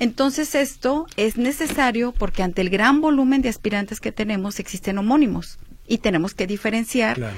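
A woman's fairly high, somewhat breathy voice with lively intonation, at a fairly quick pace with hardly any pauses. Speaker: university admissions official. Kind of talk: radio interview. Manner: clear.

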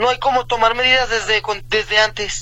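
A man projects a raised voice at an extremely high pitch. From Mexico, Tonalá, Jalisco. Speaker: amateur runner. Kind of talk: radio interview. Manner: halting, hesitant.

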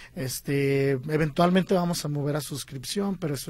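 In an ordinary speaking voice, a man talks at a fairly high pitch. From Guadalajara, Mexico. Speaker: film director and producer. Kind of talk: interview.

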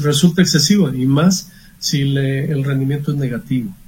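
A man speaks at a fairly slow pace in a normal speaking voice. His pitch is fairly high, with ordinary variation. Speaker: accountant. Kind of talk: expert advice on radio.

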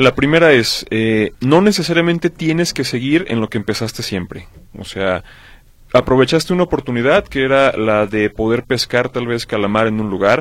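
Using a normal speaking voice, a man talks at a moderate pace in a medium pitch with lively intonation. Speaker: radio host. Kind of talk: radio talk show.

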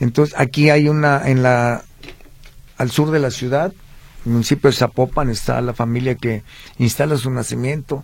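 A man at a medium pitch, with fairly even intonation, a moderate pace and long, frequent pauses. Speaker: historical researcher. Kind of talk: radio interview.

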